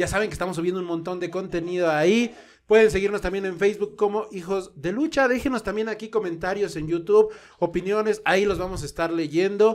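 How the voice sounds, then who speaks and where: The high voice of a man comes at a fairly quick pace. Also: ordinary pitch variation. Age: 30s. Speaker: podcast host, wrestling photographer. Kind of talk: casual chat.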